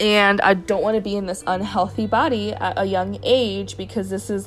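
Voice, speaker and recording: Noticeable background noise runs under this clip. A woman talks at an even, moderate speed. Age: 20s. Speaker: podcast host. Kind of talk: personal monologue. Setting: home.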